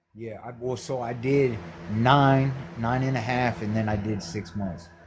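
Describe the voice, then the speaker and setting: A medium-pitched man with an American accent speaks at a fairly slow pace with ordinary pitch variation. Audible room echo is present. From US Midwest, Ohio (Cleveland area). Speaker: former prisoner. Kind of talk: interview, telling his story. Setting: audio-only call into live stream.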